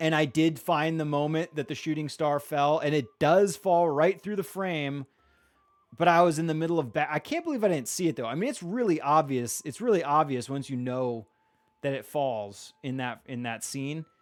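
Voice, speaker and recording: A man's fairly high-pitched voice with music in the background. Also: ordinary pitch variation. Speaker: gaming livestreamer. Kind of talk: live stream commentary. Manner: casual, fast with many fillers.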